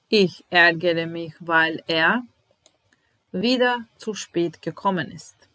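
In a bright, sharp, fairly low voice with ordinary pitch variation, a woman speaks at a very slow pace, pausing long and often while her loudness swings widely. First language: Serbian (speaking German). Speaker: German language teacher. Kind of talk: language lesson. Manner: slow, repetitive. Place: home room. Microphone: webcam.

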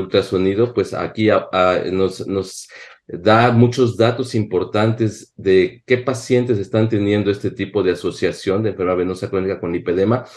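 Against a quiet background, a man with a fairly low pitch talks at a moderate pace with hardly any pauses and ordinary pitch variation. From Mexico. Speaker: physician, panel expert; panelist. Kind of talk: panel discussion. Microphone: webcam.

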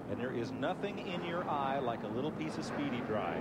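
Over loud background noise, a man speaks at a moderate pace with ordinary pitch variation in a dry sound with no echo. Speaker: TV race commentator. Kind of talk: commentary.

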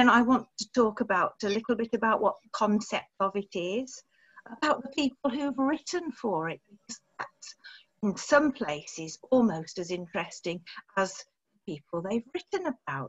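A woman's somewhat breathy voice at a moderate pace, with very wide pitch swings and big swings in loudness, over a quiet background. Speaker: speaker. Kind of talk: lecture. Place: home room. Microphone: video call.

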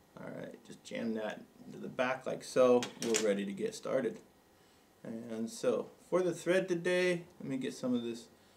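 At a moderate pace, the voice moves through very wide pitch swings and big swings in loudness over light background noise. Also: man. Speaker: fly tying instructor. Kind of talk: tutorial. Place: studio.

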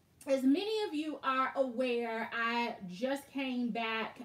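The woman's pitch varies in an ordinary way. Her voice carries audible room echo. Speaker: handbag vlogger. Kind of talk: casual live stream chat. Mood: amused, easygoing. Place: home room. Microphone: webcam.

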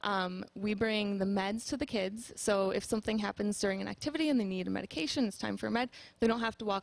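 A woman at a very fast pace, medium in pitch with ordinary pitch variation, in a dry sound with no echo. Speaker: nurse. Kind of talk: interview. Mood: warm, earnest. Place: studio. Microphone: headset.

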